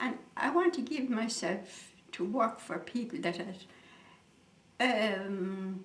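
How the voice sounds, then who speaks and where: Speaking with an Irish accent at a medium pitch, a woman uses lively intonation over noticeable background noise. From Ireland, County Leitrim. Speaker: missionary nun. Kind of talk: interview answer.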